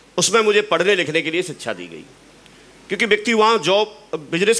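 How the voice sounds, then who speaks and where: A man's raised, projected voice at a high pitch, with ordinary pitch variation and a moderate pace. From Uttar Pradesh, India. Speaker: network marketing leader. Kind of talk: motivational talk. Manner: animated.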